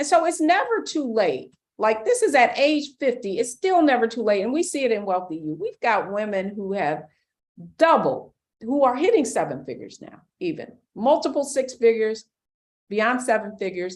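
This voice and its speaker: A woman talks at a moderate pace with a fairly high pitch and vocal fry. Her pitch swings very widely. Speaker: financial educator. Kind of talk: webinar.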